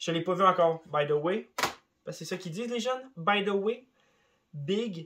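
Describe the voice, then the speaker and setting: A man with a Quebec accent speaks in a high pitch at a moderate pace, leaving long, frequent pauses. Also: ordinary pitch variation. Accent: Québécois French. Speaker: YouTuber. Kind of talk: casual vlog monologue. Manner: animated.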